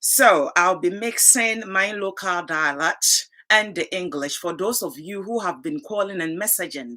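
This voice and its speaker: At a fairly slow pace, a woman with a Ghanaian accent speaks in a bright, sharp tone at medium pitch with lively intonation. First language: Twi. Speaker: talk show host. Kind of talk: live talk show.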